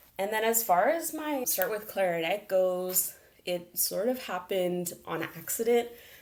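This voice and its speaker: With an ordinary speaking voice, a woman talks at a fairly slow pace in a medium pitch with lively intonation. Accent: American. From Las Vegas, US. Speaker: arts program manager. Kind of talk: interview.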